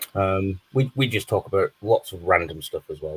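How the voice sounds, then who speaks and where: In a northern English accent, a man speaks at a moderate pace, the sound dry and close with no echo. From northern England. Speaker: live stream guest, fellow streamer. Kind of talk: casual chat.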